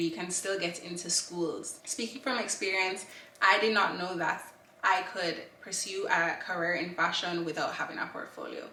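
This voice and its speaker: Delivered at a moderate pace with ordinary pitch variation, the voice carries audible room echo over noticeable background noise. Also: woman. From Jamaica (Kingston). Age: 20s. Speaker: fashion student vlogger. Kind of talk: casual vlog advice.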